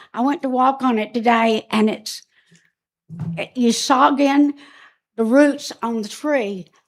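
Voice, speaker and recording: In a South Carolina accent, a woman speaks. Her pitch is high. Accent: US Southern (South Carolina). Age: 70s. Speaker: resident speaking at public comment. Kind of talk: public comment at council meeting. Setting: county council meeting. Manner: halting.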